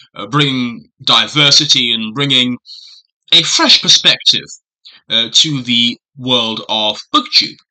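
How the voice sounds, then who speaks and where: Speaking at a very slow pace, a man talks with a British accent. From Britain. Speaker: booktuber. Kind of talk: casual vlog monologue. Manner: hesitant with frequent fillers.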